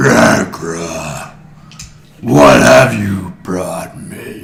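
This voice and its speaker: The voice is a put-on character voice, raspy and resonant. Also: man, very deep, low pitch for a man. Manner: booming, commanding.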